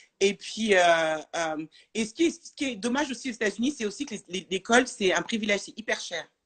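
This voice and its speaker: A woman in a normal speaking voice, fairly high-pitched, speaks with lively intonation and big swings in loudness. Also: fairly quick pace. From France. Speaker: French expat in the US. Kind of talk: casual interview chat. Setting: Instagram live video.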